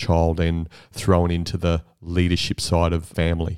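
In a very clean recording with a silent background, a man with an Australian accent talks at a fairly slow pace in a dark, mellow tone, the sound dry and close with no echo. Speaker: podcast host. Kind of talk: interview. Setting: host's home.

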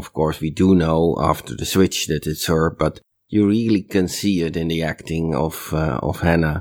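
A man with a very deep, low voice speaks at a moderate pace with ordinary pitch variation. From Netherlands. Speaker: listener sending feedback. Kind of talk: recorded voice message feedback. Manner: hesitant, with fillers.

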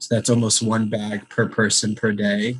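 This man talks in a fairly low voice at a moderate pace. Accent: Chicago. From US Midwest, Chicago. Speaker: entrepreneur. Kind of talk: interview.

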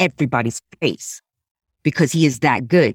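A woman with an American accent speaks in a very deep, low voice, the sound dry and close with no echo. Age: 50s. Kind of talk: casual chat.

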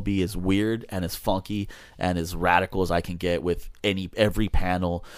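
A man with a Southern California accent speaks at a very deep, low pitch. The recording is very clean, with a silent background. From Los Angeles (Echo Park). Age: 40s. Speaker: hot rod shop owner and metal fabricator. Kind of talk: casual chat.

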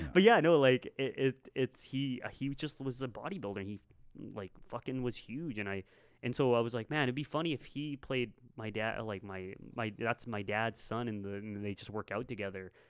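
Using an ordinary speaking voice, a man with a Canadian accent talks at a moderate pace and medium pitch with ordinary pitch variation. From Canada, Winnipeg area. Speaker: filmmaker. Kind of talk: casual chat.

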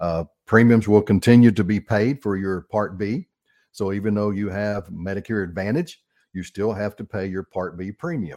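At a moderate pace, a man with a plain, everyday voice and a fairly low pitch speaks with ordinary pitch variation, the sound dry and close with no echo. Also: very clean recording, silent background. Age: 60s. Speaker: radio host, financial advisor. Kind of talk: radio talk show on retirement finance. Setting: radio studio. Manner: casual, conversational with frequent fillers.

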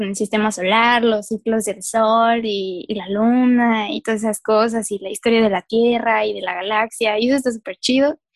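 Against a quiet background, a woman with a fairly high pitch talks at a moderate pace, the sound dry and close with no echo. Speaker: podcast co-host, earth sciences graduate. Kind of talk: casual chat. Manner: animated, frequent laughter.

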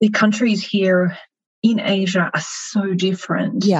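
A woman's voice, somewhat breathy, moves at a fairly slow pace. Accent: Australian. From Melbourne, Australia. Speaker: marketing executive. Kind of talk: interview.

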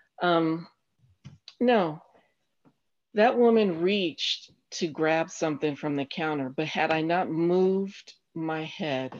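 Against a quiet background, a woman with an American accent speaks at a fairly low pitch with ordinary pitch variation. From Colorado Springs, Colorado. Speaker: guest, host's mother. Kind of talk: casual chat.

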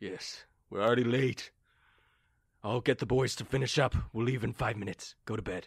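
In a raspy put-on character voice of medium pitch, a man speaks at a moderate pace with fairly even intonation and long, frequent pauses. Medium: actual play.

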